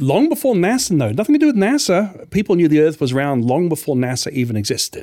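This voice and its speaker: A man speaks in a high voice at a very fast pace with hardly any pauses, his pitch swinging very widely over noticeable background noise. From New Zealand. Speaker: scientist and author.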